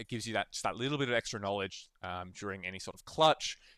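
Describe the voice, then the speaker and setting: With a fairly low pitch and bright, sharp tone, a man talks very fast with lively intonation in a dry, close sound with no echo. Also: very clean recording, silent background. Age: 30s. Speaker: video game coach. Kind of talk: coaching session. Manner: casual, many fillers.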